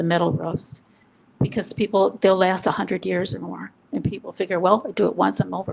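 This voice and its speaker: A shaky woman's voice at a fairly quick pace. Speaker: planning commission member. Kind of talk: public meeting discussion.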